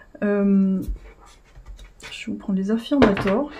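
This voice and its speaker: A woman mumbles at a fairly slow pace. Her pitch sits in the medium range. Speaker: tarot reader. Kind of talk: tarot reading. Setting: at home, indoors with incense. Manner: mumbling.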